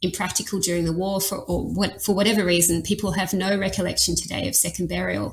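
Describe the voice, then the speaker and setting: The speaker is a woman. Her accent is Australian. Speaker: anthropologist. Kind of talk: interview conversation.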